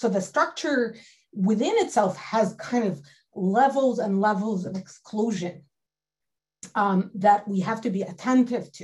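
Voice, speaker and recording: A woman's fairly high, somewhat breathy voice at a fairly slow pace with ordinary pitch variation. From Galilee, northern Israel. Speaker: history professor. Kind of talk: panel discussion.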